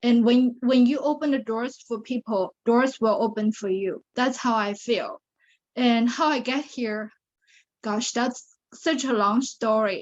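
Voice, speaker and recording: Against a quiet background, a woman with a Chinese accent talks at a fairly slow pace, her fairly high voice holding a fairly even intonation. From China (Shanghai). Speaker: pageant titleholder and survivor advocate. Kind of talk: interview testimony.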